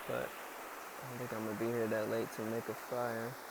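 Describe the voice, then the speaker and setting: Soft-spoken and calm in tone, the voice sits against noticeable background noise. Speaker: spiritual vlogger. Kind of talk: casual monologue vlog. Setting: outdoors by a river.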